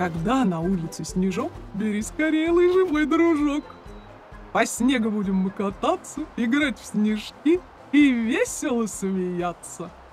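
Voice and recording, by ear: Using a cartoonish character voice at an extremely high pitch, a man with a slightly mellow tone goes at a fairly slow pace with big pitch swings, and faint music plays in the background.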